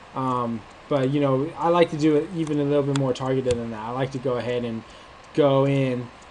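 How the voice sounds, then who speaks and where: Against noticeable background noise, a man with an American accent speaks fairly quickly at a fairly high pitch with ordinary pitch variation. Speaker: online marketing instructor. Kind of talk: screen-share tutorial. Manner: casual, many filler words.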